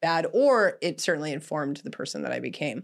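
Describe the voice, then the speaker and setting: A woman with a Canadian accent and vocal fry speaks at a fairly quick pace on a very clean recording with a silent background. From Canada. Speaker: podcast host and adult film director. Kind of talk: casual interview chat. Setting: studio set.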